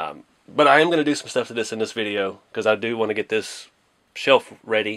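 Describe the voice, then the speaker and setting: A man moves at a fairly quick pace, with ordinary pitch variation, and the background stays quiet. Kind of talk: casual tutorial commentary. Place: home room.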